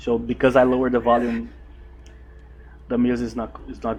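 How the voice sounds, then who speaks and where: Speaking with a Brazilian Portuguese accent, a man keeps a fairly quick pace. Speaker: gaming YouTuber. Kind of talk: gameplay commentary. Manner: halting, stumbles over words; casual, relaxed.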